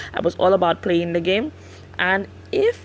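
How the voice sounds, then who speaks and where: A woman with a Saint Lucian accent speaks at a fairly slow pace. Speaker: Sims builder and YouTuber. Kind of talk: casual narration over speed build. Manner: hesitant, many fillers.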